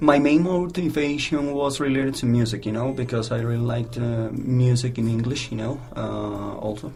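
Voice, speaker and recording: A speaker with a Spanish accent talks at a moderate pace with fairly even intonation, with audible room echo and noticeable background noise in the recording. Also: man. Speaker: English teacher. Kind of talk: interview. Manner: halting.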